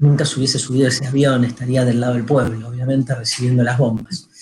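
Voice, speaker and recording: With a Rioplatense accent, a man speaks at a fairly quick pace in a somewhat breathy voice. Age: 50s. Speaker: radio host, philosopher. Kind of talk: casual radio chat.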